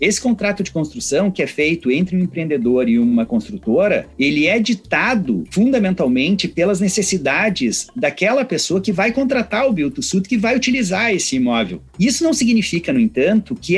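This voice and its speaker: A man with a gaúcho accent talks at a moderate pace in a high pitch. His pitch swings very widely. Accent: gaúcho, southern Brazilian. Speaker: law professor. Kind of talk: legal debate.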